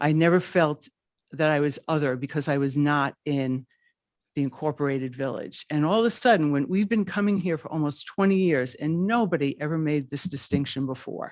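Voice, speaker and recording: The speech comes at a fairly quick pace in a New York accent. The recording is very clean, with a silent background. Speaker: public commenter at town council. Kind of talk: public comment. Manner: halting.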